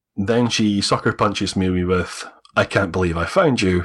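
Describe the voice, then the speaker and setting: The speaker talks with a Scottish accent and ordinary pitch variation. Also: man. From Scotland. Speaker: adoptee. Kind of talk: interview telling personal story. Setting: video call.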